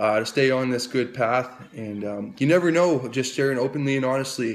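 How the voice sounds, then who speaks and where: Noticeable background noise accompanies this man. He talks at medium pitch in a Canadian accent. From Canada, New Brunswick (Fredericton). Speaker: recovery advocate. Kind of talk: personal testimony. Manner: halting, many repetitions.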